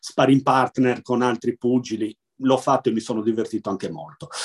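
A man with an ordinary speaking voice talks at a fairly quick pace in a medium pitch. His intonation is fairly even, and the sound is dry and close with no echo. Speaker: blind baseball player and sports club president. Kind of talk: interview.

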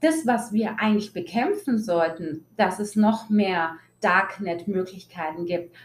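A woman talks at a fairly slow pace in a medium, somewhat breathy voice. Her pitch varies in an ordinary way. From Germany, Italian family. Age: 20s. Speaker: podcast host. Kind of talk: personal monologue. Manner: animated.

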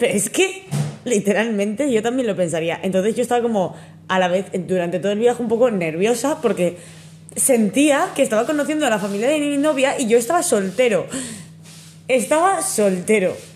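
Fairly quick and somewhat breathy, a woman's fairly high voice swings very widely in pitch. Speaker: podcast co-host. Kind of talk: casual chat. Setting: home.

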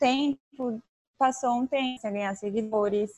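A woman at a very slow pace, fairly even in intonation, with a dry, close sound and no echo. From southern Brazil (Tubarão, Santa Catarina). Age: 20s. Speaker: travel influencer and photographer. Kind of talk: casual interview.

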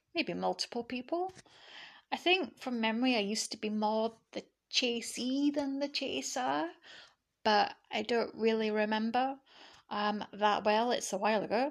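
On a very clean recording with a silent background, a woman with a fairly high pitch talks at a moderate pace with lively intonation. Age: 30s. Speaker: podcast host. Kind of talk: personal monologue. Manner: hesitant with many fillers.

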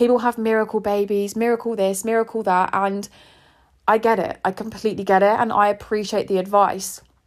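A woman with an English accent, fairly quick and monotone, with flat intonation and very even loudness. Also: medium pitch for a woman. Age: 20s. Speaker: podcast host. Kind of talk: personal monologue.

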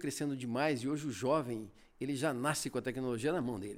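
A man with a plain, everyday voice moves at a fairly quick pace with ordinary pitch variation. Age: 50s. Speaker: media company sales director. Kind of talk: interview.

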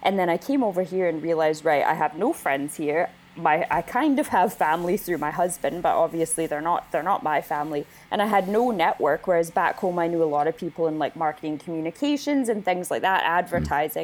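A woman's fairly low voice at a fairly quick pace, with ordinary pitch variation, very even loudness and hardly any pauses. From Winnipeg, Canada. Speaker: wedding photographer. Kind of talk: casual interview.

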